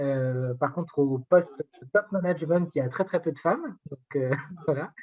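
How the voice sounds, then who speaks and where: A man's fairly high voice. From rural France. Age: 40s. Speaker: digital inclusion advocate. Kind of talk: interview conversation. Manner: hesitant, many fillers.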